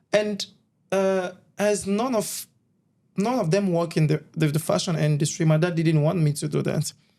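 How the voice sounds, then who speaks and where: At a moderate pace, a man speaks with a high pitch, a dark, mellow tone, ordinary pitch variation and very even loudness. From Congo (DRC). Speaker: fashion model. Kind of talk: interview. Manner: halting.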